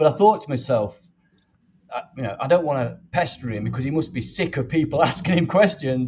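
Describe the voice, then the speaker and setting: A man speaks fairly quickly, his intonation lively. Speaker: fan channel host. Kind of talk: interview. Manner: rambling.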